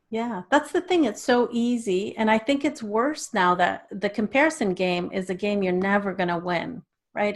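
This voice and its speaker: With a Canadian accent, a woman has an unremarkable speaking voice at medium pitch, speaking at a moderate pace on a very clean recording with a silent background. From Canada. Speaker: children's author and speaker. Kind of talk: interview.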